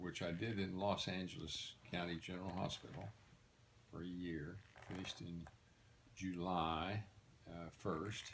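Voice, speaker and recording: A man's very deep, low voice in a relaxed tone at a fairly slow pace, with long, frequent pauses. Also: fairly even intonation. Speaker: retired physician and former soldier. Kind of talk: personal storytelling. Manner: relaxed, conversational.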